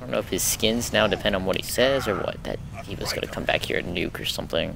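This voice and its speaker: A man talks at a very fast pace. The sound is dry with no echo but carries noticeable background noise. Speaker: gamer, YouTuber. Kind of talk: casual gameplay commentary to camera. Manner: whispered, quiet. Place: home room.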